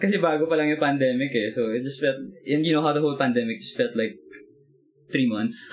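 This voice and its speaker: Over noticeable background noise, a man with a fairly high pitch speaks at a very fast pace with lively intonation. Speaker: band member, musician. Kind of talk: casual chat.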